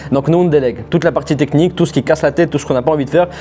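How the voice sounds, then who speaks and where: This man has a fairly high pitch and fairly even intonation. Noticeable background noise runs behind him. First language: not French (speaking French). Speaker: AI agency owner, YouTuber. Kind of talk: tutorial. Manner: casual, conversational.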